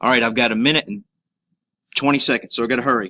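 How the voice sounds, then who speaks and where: The man's voice has a bright, sharp tone. The sound is dry and close, with no echo. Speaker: teacher. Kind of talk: tutorial. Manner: casual, halting with fillers.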